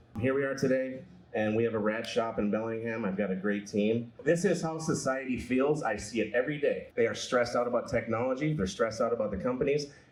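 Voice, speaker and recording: With hardly any pauses, a man speaks at a very fast pace and ordinary pitch variation, and audible room echo surrounds him. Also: medium pitch for a man. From Minnesota. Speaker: repair shop owner and activist. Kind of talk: panel talk to live audience.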